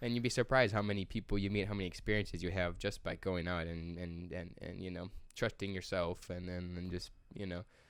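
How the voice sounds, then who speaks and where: At a very fast pace, a man with a very deep, low pitch keeps a fairly even intonation in a very clean recording with a silent background. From Chicago suburbs, US Midwest. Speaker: builder with architecture background. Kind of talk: casual chat.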